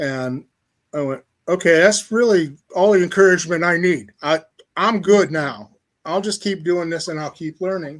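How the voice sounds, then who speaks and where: Heard on a very clean recording with a silent background, a man with a Midwestern American accent talks at a moderate pace in a high voice with ordinary pitch variation. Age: 70s. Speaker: novelist. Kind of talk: interview. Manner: casual, conversational.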